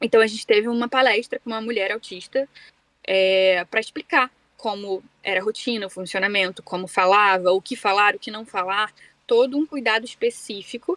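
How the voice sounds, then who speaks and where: A woman talks at a moderate pace in a fairly high pitch with ordinary pitch variation and an unremarkable speaking voice. The sound is dry and close, with no echo. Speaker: voice actress. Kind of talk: casual interview chat.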